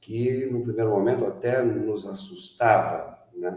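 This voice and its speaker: A man's voice at a medium pitch. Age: 60s. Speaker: education management consultant. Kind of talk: interview. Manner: hesitant, many fillers.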